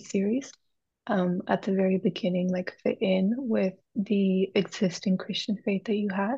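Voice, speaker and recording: Against a quiet background, a woman speaks at a moderate pace and medium pitch with fairly even intonation. Her voice is somewhat breathy, with a dark, mellow tone. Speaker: software engineer. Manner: halting, careful.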